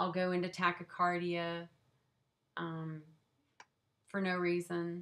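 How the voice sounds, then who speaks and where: Bright and sharp in tone, a woman with a Southern US accent speaks at a fairly low pitch and moderate pace, her intonation monotone and flat. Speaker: vlogger sharing chronic illness experience. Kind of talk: casual personal vlog. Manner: hesitant, many fillers.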